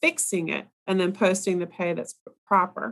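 A woman speaks at a moderate pace in an ordinary speaking voice, her pitch medium for a woman. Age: 40s. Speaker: costume designer and professor. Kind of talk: casual interview.

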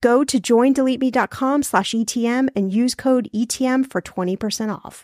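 A woman speaks at a moderate pace with a high pitch and fairly even intonation. The sound is dry and close with no echo, on a very clean recording with a silent background. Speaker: podcaster. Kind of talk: interview conversation.

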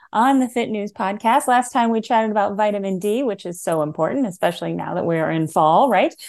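An unremarkable speaking voice with lively intonation. The background is quiet. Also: woman. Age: middle-aged. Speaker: fitness expert and podcast host. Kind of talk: casual interview chat.

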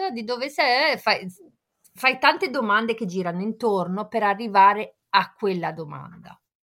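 A woman speaks with big swings in loudness. Her intonation is lively. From Genoa, Italy. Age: 50s. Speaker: focaccia baker, football fan. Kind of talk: casual chat.

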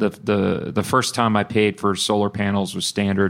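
Speaking at a moderate pace with a Texan accent, a man's fairly low voice comes through on a very clean recording with a silent background. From Texas (Bryan). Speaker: energy company founder and CEO. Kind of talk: live interview. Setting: live event with audience.

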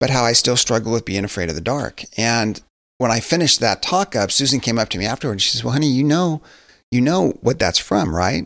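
A man's normal speaking voice at a medium pitch, fairly quick and lively in intonation, in a very clean recording with a silent background. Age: 50s. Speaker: pastor and author. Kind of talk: interview conversation. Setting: studio.

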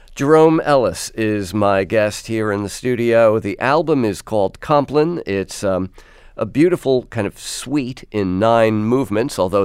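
The recording is very clean, with a silent background. A man with a fairly low pitch speaks in a normal speaking voice at a moderate pace with lively intonation. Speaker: radio host. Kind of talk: radio interview. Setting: studio.

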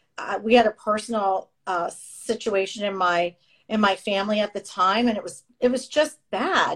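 A woman's plain, everyday voice, medium in pitch, at a moderate pace. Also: ordinary pitch variation. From Canada, moved to Florida at 14. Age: 50s. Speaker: real estate agent and podcast host. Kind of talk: casual interview chat. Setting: remote call.

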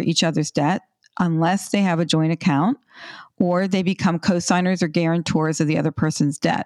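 In a plain, everyday voice, a woman talks at a moderate pace with fairly low pitch and ordinary pitch variation, the sound dry and close with no echo. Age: 60s. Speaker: financial educator on money and relationships. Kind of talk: interview. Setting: remote call.

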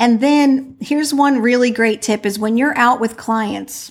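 A woman with an American accent has a normal speaking voice and talks at a moderate pace. Her pitch variation is ordinary, and the recording is very clean with a silent background. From New Jersey. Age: 50s. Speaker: interior design business coach. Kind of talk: interview.

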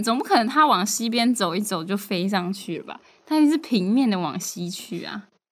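A woman's medium-pitched voice at a moderate pace, with lively intonation and big swings in loudness. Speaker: podcast co-host. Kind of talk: casual chat.

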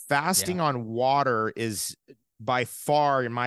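A man's medium-pitched, normal speaking voice with ordinary pitch variation. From New York and New Jersey. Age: 50s. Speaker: natural health advocate. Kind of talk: casual interview.

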